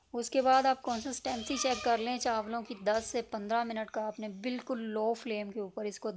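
Faint music plays behind a woman who speaks at a fairly high pitch and a fairly slow pace with hardly any pauses. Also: ordinary pitch variation. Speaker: cooking vlogger. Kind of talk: cooking tutorial. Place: kitchen. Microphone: phone near.

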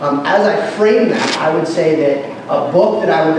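A man's fairly high voice at a moderate pace, fairly even in intonation, with strong room echo and noticeable background noise. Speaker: pastor. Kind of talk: conference workshop talk. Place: hall.

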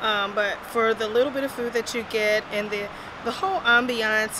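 A woman at a moderate pace, with a dry sound with no echo and noticeable background noise. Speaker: food reviewer. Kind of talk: casual vlog review. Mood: mildly critical, calm. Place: street. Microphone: phone near.

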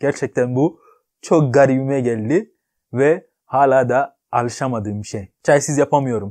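In a quiet background, a man speaks with a non-native accent and a dark, mellow tone. His pitch variation is ordinary. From Ghana. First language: not Turkish (speaking Turkish). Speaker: YouTuber; vlogger. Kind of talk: vlog monologue. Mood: cheerful, joking. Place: home room.

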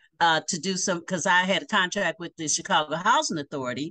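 The voice has a bright, sharp tone and lively intonation at a fairly quick pace. The background is quiet. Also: woman. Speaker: remote interview guest. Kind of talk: interview answer. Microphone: video call.

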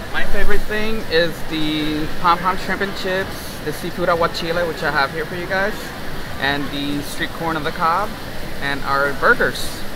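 Noticeable background noise fills the space as a man speaks at a moderate pace. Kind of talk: interview answer. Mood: friendly, a bit shy. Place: market. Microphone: phone near.

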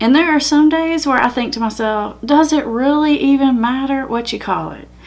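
Here a woman is speaking. Her voice is high-pitched. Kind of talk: educational vlog talk. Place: home room.

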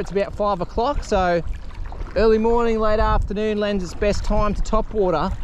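Speaking at a fairly quick pace, a man with a high voice keeps a fairly even intonation over light background noise in a dry recording with no echo. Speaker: angler vlogger. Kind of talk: casual vlog chat, fishing commentary. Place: waterside. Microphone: phone near.

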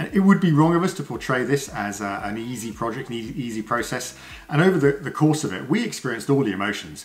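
At a fairly quick pace, a man speaks with very wide pitch swings. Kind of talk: casual vlog chat. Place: home room. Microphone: camera far.

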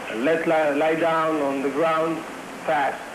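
Noticeable background noise runs under this man's speech. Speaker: freed hostage. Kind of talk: eyewitness testimony. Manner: halting, frequent uh fillers. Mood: recounting dramatic rescue. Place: home room.

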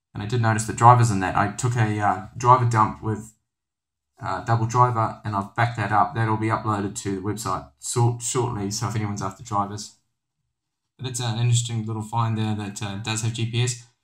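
Over music in the background, a man talks at a fairly quick pace, his medium-pitched voice monotone and flat. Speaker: tech reviewer. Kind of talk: tutorial. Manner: casual, hesitant with fillers.

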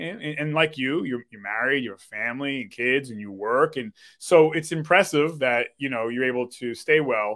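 Against a quiet background, a man speaks at a moderate pace with hardly any pauses, ordinary pitch variation, and big swings in loudness. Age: 40s. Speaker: podcast host and DJ; podcast host, DJ. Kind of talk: casual chat. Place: home room. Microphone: webcam.

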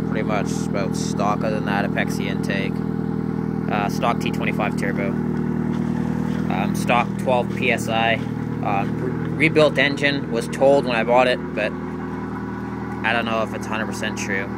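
A man at a fairly slow pace with ordinary pitch variation, dry sound with no echo, and loud background noise. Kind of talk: casual vlog chat. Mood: puzzled, casual. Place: street. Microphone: phone near.

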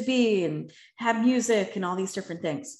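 In an American accent, a woman speaks with a fairly high pitch, lively intonation and a somewhat breathy quality, with audible room echo over a quiet background. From Philadelphia, US. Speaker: motivational speaker and life coach; motivational speaker, life coach. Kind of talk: Q&A answers; talk with personal testimony. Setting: video call. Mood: earnest, reflective. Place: home room. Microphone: video call.

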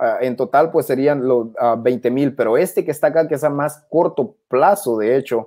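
A man talks at a fairly slow pace in a dark, mellow tone with ordinary pitch variation. The recording is very clean, with a silent background. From Honduras. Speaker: crypto YouTuber. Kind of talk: livestream crypto chat and tutorial.

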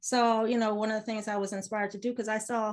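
A woman speaks with an American accent in a fairly high pitch. The background is quiet. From US military family, raised abroad. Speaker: business mentor and realtor; interview guest. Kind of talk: casual interview. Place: home room. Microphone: video call.

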